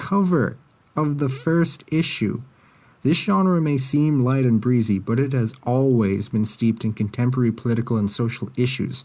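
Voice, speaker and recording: A man mumbles in a dark, mellow tone at medium pitch. His loudness stays very even. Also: ordinary pitch variation, moderate pace. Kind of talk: video essay commentary. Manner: sleepy, mumbling.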